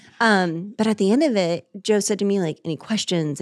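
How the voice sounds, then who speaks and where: In a very clean recording with a silent background, a woman speaks fairly quickly at a fairly high pitch in a normal speaking voice. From Orlando, Florida. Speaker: dietitian, podcast co-host. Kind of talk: casual interview. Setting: studio, in person.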